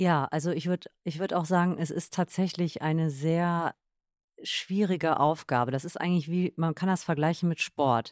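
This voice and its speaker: At a moderate pace, a woman with an ordinary speaking voice talks in a fairly low pitch, her sound dry and close with no echo. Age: 30s. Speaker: yoga and meditation practitioner. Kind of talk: casual chat.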